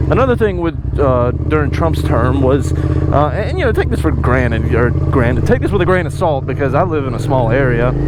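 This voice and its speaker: A man with a Southern US accent speaks quickly enough, at a medium pitch with very wide pitch swings and very even loudness. Noticeable background noise and audible room echo fill the recording. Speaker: motorcycle vlogger. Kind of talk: casual vlog monologue. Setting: outdoors on a motorcycle.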